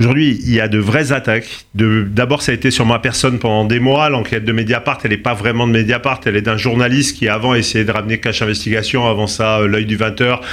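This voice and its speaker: This man has an unremarkable speaking voice at a medium pitch, talking at a fairly quick pace with hardly any pauses. His loudness stays very even and his intonation fairly even. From Corsica. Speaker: tech company founder. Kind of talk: interview.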